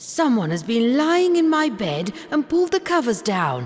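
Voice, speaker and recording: In a put-on character voice, the speaker growls at a fairly high pitch with very wide pitch swings, keeping a moderate pace. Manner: growling.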